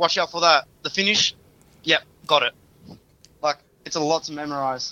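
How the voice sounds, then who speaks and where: Speaking with an Australian accent, a man uses a bright, sharp tone at a fairly high pitch, with fairly even intonation and a moderate pace. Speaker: wrestling trainee and referee. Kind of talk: interview.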